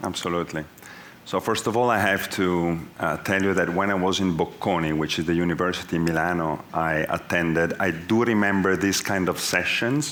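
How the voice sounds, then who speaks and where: A man with an Italian accent, a very deep, low pitch, very even loudness and a fairly quick pace, in audible room echo. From Italy. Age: 40s. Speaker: business executive. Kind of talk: onstage interview.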